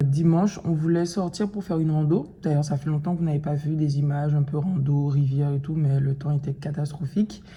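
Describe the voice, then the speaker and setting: A somewhat breathy woman with a very deep, low pitch, a dark, mellow tone, fairly even intonation and a moderate pace. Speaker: vlogger. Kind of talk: casual vlog talk to camera. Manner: hesitant, many fillers.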